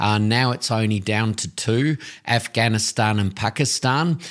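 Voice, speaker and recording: A man with an Australian accent talks fairly slowly at a medium pitch on a very clean recording with a silent background. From Tasmania, Australia. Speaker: tourism business owner. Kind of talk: interview.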